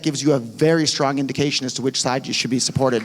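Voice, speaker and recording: A man speaks with fairly even intonation. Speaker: cryptocurrency advocate. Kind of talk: conference Q&A answer.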